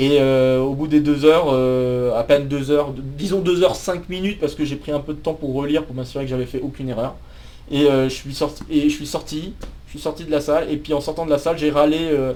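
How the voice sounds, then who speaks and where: A man talks at a fairly quick pace in a fairly high voice. His intonation stays fairly even. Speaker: math PhD student and YouTuber. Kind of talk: personal life story. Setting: office. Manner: hesitant, many fillers and repetitions.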